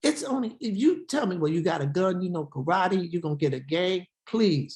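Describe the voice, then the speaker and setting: At a moderate pace, a woman speaks in an animated, somewhat breathy tone at a medium pitch with very wide pitch swings. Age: 70s. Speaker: Hebrew Israelite teacher. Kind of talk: sermon.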